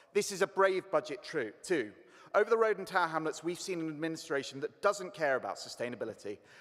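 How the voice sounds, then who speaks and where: This man speaks very fast with lively intonation. His pitch is high for a man. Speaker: councillor. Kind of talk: council debate speech.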